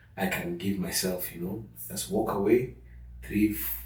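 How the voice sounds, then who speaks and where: The voice carries vocal fry. Room echo is audible. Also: man. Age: 50s. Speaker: father sharing parenting experience. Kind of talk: interview conversation.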